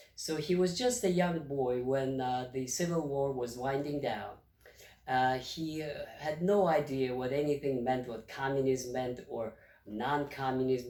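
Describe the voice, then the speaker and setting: Speaking with a Russian accent, a man talks at a fairly slow pace in a fairly high voice, with ordinary pitch variation. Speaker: retired history professor. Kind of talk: history lecture to camera.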